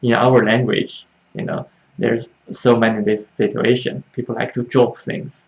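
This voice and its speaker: With a Chinese accent, a man talks at a moderate pace and a medium pitch. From China. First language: Mandarin Chinese. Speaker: Chinese language teacher. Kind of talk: live online Q&A class. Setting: livestream. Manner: halting, many fillers.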